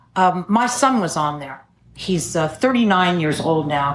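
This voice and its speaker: With a fairly low pitch, a woman talks over audible room echo. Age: 70s. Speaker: AA speaker. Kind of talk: testimony.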